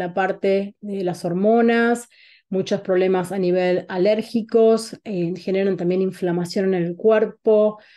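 With an Argentine accent, a woman speaks at a very slow pace in a dark, mellow tone over a quiet background. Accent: Rioplatense Argentine Spanish. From Argentina, Buenos Aires. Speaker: holistic wellness coach. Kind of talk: online talk presentation. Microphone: video call.

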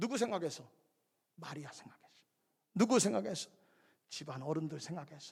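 A man speaks at a moderate pace with a fairly high pitch. His tone is animated and his intonation lively. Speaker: pastor. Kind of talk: sermon. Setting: church. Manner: loud.

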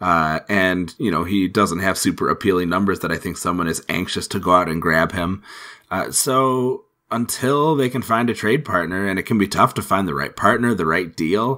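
With a bright, sharp tone, a man speaks very deep and low at a moderate pace, in a very clean recording with a silent background. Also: lively intonation. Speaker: fantasy hockey podcast co-host. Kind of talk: casual chat.

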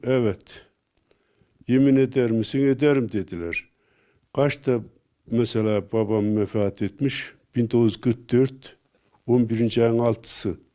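The pace is very slow, broken by long, frequent pauses. Intonation stays fairly even over a dark, mellow tone. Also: man, medium pitch for a man. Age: 70s. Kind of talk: casual personal recollection.

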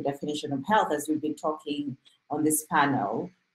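A woman speaks at a fairly quick pace in a low pitch. Her voice has a slightly husky edge.

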